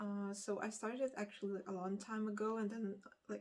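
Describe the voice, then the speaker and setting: A woman's voice with a Lithuanian accent. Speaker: book vlogger. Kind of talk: casual vlog chat. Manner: halting, many fillers.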